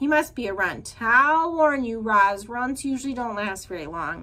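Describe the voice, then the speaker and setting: A woman uses a put-on character voice with a fairly high pitch at a moderate pace. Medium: read story. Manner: blunt, squawking.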